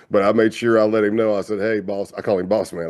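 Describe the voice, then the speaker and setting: With an American accent, a man speaks in a fairly low pitch and a monotone, flat intonation. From US South, South Carolina. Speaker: retired FBI undercover agent. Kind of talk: interview conversation. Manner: casual, relaxed.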